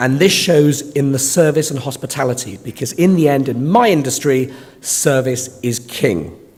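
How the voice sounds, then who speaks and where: A man with a fairly high pitch talks at a moderate pace with ordinary pitch variation. Audible room echo and noticeable background noise surround him. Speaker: conference chair. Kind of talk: conference opening speech. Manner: formal.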